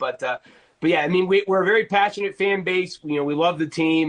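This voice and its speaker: High in pitch for a man, this voice moves at a very fast pace with an American accent and ordinary pitch variation. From Pittsburgh, US. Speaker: NFL writer. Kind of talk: casual sports interview.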